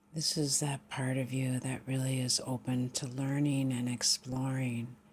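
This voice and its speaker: A woman with a very deep, low pitch speaks at a fairly slow pace in a somewhat breathy, monotone, flat delivery. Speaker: meditation guide. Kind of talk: guided meditation.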